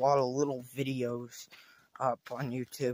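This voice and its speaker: The sound is dry with no echo as a man talks at a fairly slow pace. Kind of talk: casual vlog chat. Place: forest. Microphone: phone near.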